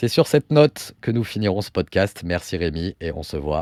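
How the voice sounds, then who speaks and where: With lively intonation and a fairly low pitch, a man talks at a fairly quick pace in a dry, close sound with no echo, on a very clean recording with a silent background. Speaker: podcast host. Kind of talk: casual podcast conversation.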